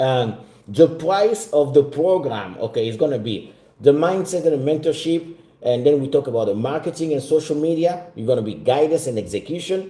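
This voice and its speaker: Speaking at a fairly quick pace, a man with fairly high pitch has a dark, mellow tone and lively intonation. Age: 40s. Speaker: business mentor. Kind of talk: sales pitch.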